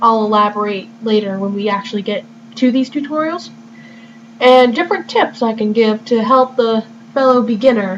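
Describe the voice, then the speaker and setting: A woman with a fairly high pitch and ordinary pitch variation speaks at a moderate pace amid noticeable background noise. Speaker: gamer. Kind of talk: video game walkthrough commentary. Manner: may stutter or sound unusual; casual, relaxed.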